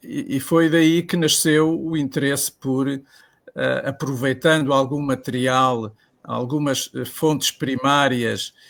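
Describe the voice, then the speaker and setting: Fairly even in intonation, a man delivers his words very slowly. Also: fairly high pitch for a man. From Portugal, Lisbon. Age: 70s. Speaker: lawyer and author. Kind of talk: interview. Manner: halting, many filler sounds.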